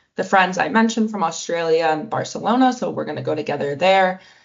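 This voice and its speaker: A woman with a Canadian accent speaks with ordinary pitch variation. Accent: Canadian, noticeable to others. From Canada. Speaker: exchange student. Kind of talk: casual interview.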